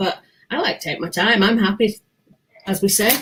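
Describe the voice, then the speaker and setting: A woman with fairly high pitch at a very fast pace. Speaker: podcast host guest. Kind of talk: casual interview chat.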